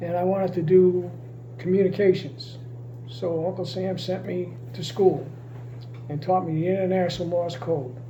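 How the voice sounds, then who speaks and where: At a moderate pace, a man with a high pitch and ordinary pitch variation leaves long, frequent pauses, with audible room echo and noticeable background noise. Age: 80s+. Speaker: retired navy communications technician. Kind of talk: interview.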